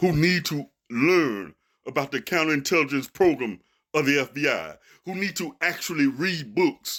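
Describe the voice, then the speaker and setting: In a very clean recording with a silent background, a man speaks at a moderate pace. His voice is fairly high-pitched with vocal fry and lively intonation. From Memphis, Tennessee. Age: 60s. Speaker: radio host and commentator. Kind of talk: heated rebuttal monologue. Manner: animated, fussing.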